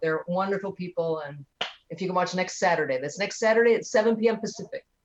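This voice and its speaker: A woman talks with an American accent at a fairly quick pace. Hers is an ordinary speaking voice with ordinary pitch variation. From US Midwest, Detroit. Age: 50s. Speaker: comedian. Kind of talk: casual chat.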